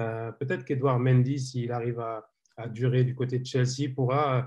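A somewhat breathy voice speaks at a moderate pace in a monotone with flat intonation, over a quiet background. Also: man. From Senegalese heritage. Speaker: football journalist. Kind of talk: casual chat. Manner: halting.

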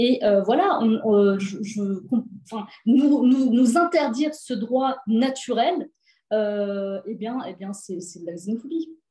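A woman's fairly high voice with a dark, mellow tone, a very slow pace, lively intonation and big swings in loudness. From France, housing estate (cité). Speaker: author. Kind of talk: interview. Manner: halting.

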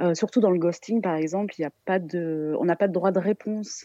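A woman with a southern French accent speaks at a fairly slow pace in a fairly low pitch, her dark, mellow tone showing ordinary pitch variation in a dry, close recording with no echo. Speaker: art therapist. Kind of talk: expert commentary. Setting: phone call.

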